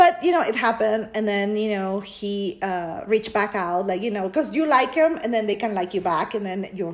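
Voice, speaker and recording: With a Spanish accent, a woman talks at a moderate pace in a fairly high pitch that swings very widely. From Peru. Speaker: podcast co-host. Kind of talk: casual chat.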